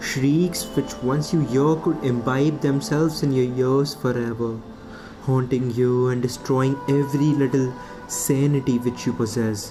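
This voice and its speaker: Background music is present. The talking unfolds fairly slowly. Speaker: poet. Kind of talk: spoken word poetry.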